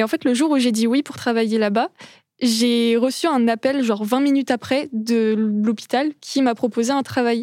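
A woman speaks with a high pitch at a moderate pace. Her intonation is fairly even. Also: very clean recording, silent background. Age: 20s. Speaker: nursing student, former morgue worker. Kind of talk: interview, personal story. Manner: hesitant, many fillers.

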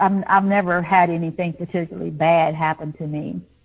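A woman speaks at a fairly quick pace with a Southern US accent. Her pitch is fairly low, with ordinary variation. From US South. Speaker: psychic medium. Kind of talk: interview.

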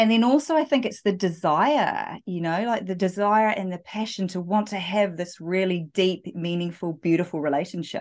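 Over a quiet background, a woman with a New Zealand accent speaks at a moderate pace, her medium pitch showing ordinary variation. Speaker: dating and relationship coach. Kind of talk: interview.

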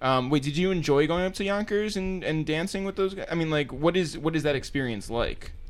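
With hardly any pauses, a man in an ordinary speaking voice talks at a fairly quick pace, using a fairly high pitch and ordinary pitch variation. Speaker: podcast host. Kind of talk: casual interview.

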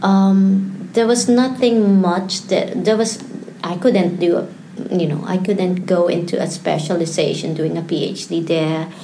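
Over noticeable background noise and audible room echo, the speaker goes at a fairly slow pace with ordinary pitch variation. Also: woman, medium pitch for a woman. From Philippines. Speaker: PhD candidate and museologist. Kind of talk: interview.

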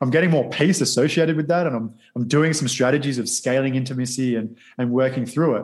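Speaking at a fairly quick pace, a man with an Australian accent talks at a medium pitch. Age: 30s. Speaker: model and actor. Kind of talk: interview.

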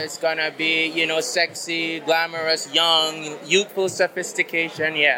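Moderate pace and a fairly high male pitch, plus noticeable background noise behind the man. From Belize. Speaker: fashion designer. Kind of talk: interview.

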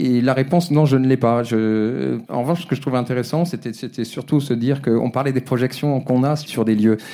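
A medium-pitched man talks at a fairly quick pace, his loudness very even and his intonation fairly even, against noticeable background noise. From Brittany, France. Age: 50s. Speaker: photographer. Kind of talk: interview. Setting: live recording with audience. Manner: halting.

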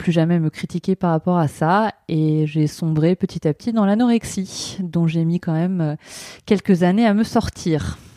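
A woman speaks with a dark, mellow tone at a fairly low pitch, her intonation fairly even, in a dry, close sound with no echo. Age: 30s. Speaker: speech therapy trainee. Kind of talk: testimony.

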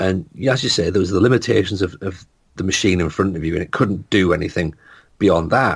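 A man's very deep, low, somewhat breathy voice at a fairly quick pace, with ordinary pitch variation. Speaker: comedian. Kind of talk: casual chat. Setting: video call.

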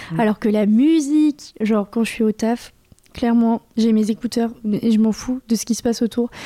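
A woman with a dark, mellow tone and fairly high pitch speaks at a moderate pace in monotone, flat intonation, the sound dry and close with no echo. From Anjou, western France. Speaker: stand-up comedian, comedy club co-manager. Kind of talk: casual chat.

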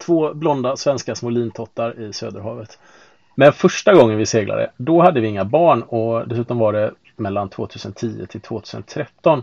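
Moderate-paced speech from a man in an ordinary speaking voice, medium-pitched with ordinary pitch variation. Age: 40s. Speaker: sailing podcast host, IT worker. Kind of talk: casual chat. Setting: on board a sailboat.

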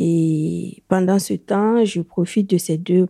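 Recorded very cleanly against a silent background, a woman speaks with a Burkinabe accent at a fairly low pitch. The sound is dry and close with no echo, and her tone is dark and mellow. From Burkina Faso. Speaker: woman living with HIV. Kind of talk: personal testimony. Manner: halting, with hesitations.

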